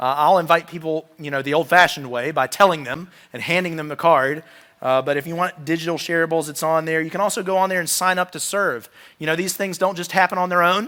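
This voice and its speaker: At a very fast pace, a man with an American accent speaks in a high pitch with a bright, sharp tone, in a very clean recording with a silent background. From Roanoke, Virginia. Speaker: pastor. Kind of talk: sermon. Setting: church. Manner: animated.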